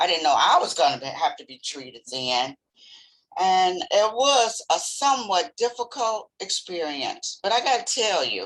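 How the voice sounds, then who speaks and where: A woman speaks at a fairly high pitch with vocal fry. Her pitch swings very widely and her loudness rises and falls sharply. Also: moderate pace. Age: 60s. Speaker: cancer survivor, retired X-ray technologist. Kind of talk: testimony.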